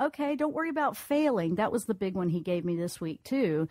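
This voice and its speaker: Very wide pitch swings in a slight Southern US accent. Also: woman. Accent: slight Southern twang. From US South. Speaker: radio host and intuitive counselor. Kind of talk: call-in radio reading.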